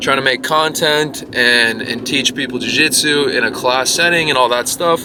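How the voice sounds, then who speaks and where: A man delivers his words at a moderate pace against noticeable background noise. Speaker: vlogger and jiu-jitsu instructor. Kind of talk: casual vlog monologue. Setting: in a car. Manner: many filler words.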